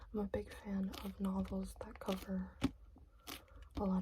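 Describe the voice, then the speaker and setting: Whispering and soft-spoken, the speaker goes at a moderate pace. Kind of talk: ASMR book haul talk. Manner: soft-spoken, whispered.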